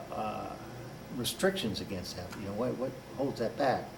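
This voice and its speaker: Moderate tempo from a man, with noticeable background noise and audible room echo. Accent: American. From Washington DC area. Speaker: author and political activist. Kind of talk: interview.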